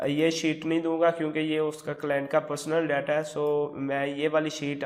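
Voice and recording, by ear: Keeping a moderate pace, a man speaks in a fairly high pitch with little pitch movement.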